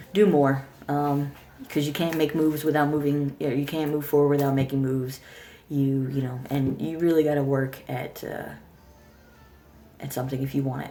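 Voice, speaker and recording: A woman with a very deep, low voice talks at a fairly quick pace in a flat monotone. Long pauses come often, and music plays in the background. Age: 30s. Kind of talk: casual talk to camera. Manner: stuttering, hesitant.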